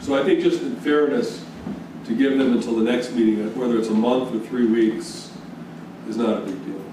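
Over noticeable background noise and audible room echo, a man with an American accent speaks at a moderate pace with fairly even intonation. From US Northeast. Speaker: town board member. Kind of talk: public meeting. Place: meeting room.

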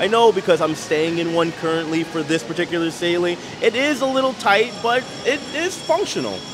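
Lively intonation marks a man's fairly quick speech, with noticeable background noise behind it. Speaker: travel vlogger. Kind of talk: travel vlog commentary. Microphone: phone near.

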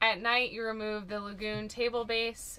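At a moderate pace, a woman is talking. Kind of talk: tour presentation. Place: car.

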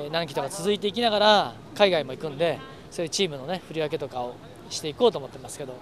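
A man speaks at a high pitch. Light background noise accompanies a dry sound with no echo. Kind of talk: interview answer. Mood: relaxed, good-humored. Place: street.

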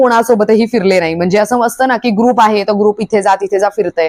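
Heard in a dry, close sound with no echo, a woman has a normal speaking voice at medium pitch with ordinary pitch variation. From Maharashtra, Alibag. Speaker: vlogger. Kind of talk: vlog monologue.

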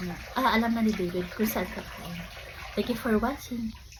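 A woman with a fairly high pitch talks in fairly even intonation, with noticeable background noise and audible room echo around her. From Philippines. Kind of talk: casual vlog talk. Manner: halting, many fillers.

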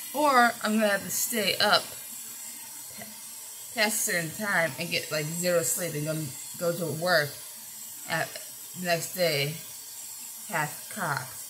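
Light background noise accompanies a woman who speaks fairly slowly with long, frequent pauses. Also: fairly low pitch for a woman. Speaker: vlogger. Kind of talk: casual vlog chat. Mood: frustrated, venting about work. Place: home room. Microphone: phone near.

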